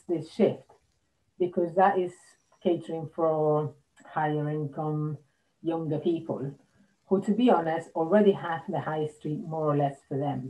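A woman's fairly low voice at a fairly slow pace, broken by long, frequent pauses. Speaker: interviewee. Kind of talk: interview answer. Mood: concerned, thoughtful. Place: home room. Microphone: video call.

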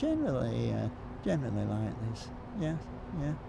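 Recorded dry with no echo, this Yorkshire accent comes through over noticeable background noise. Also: man. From Huddersfield, Yorkshire. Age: 80s+. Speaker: football turnstile supervisor. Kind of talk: interview answer. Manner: hesitant, halting. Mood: warm, reminiscing. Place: stadium. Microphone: lapel.

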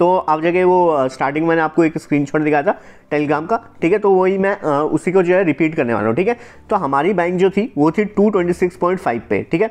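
Pitched high, a man talks at very even loudness with ordinary pitch variation. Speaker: stock market educator. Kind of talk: tutorial. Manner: fast; casual.

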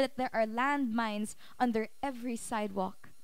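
A woman's high voice moves with ordinary pitch variation in a dry sound with no echo. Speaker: spoken word poet. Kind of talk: spoken word poetry performance. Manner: emotional, heartfelt. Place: cafe.

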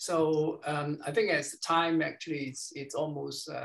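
The pace is very slow. The background is quiet. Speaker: meeting chairman. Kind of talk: society meeting, hosting. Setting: video call. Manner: halting, hesitant. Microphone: video call.

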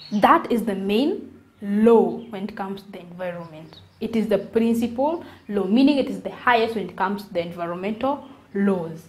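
Somewhat breathy, a woman speaks at a medium pitch and a moderate pace, with ordinary pitch variation and big swings in loudness. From Kenya. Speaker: environmental educator, video creator. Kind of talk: educational monologue to camera. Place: home room. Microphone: lapel.

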